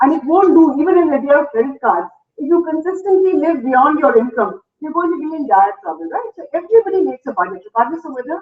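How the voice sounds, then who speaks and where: Speaking very fast at a high pitch, a woman makes very wide pitch swings and big swings in loudness. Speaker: economics journalist and editor. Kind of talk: lecture.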